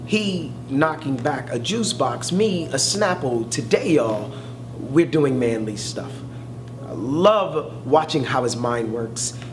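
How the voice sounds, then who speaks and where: Speaking with an American accent at a fairly slow pace, the voice has lively intonation over noticeable background noise. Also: man. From South Central Los Angeles. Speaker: poet, academic. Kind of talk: spoken word poetry performance.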